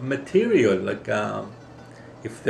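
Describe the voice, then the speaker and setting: Speaking with a Greek accent, the voice carries audible room echo and noticeable background noise. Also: man. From Greece. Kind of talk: personal testimony.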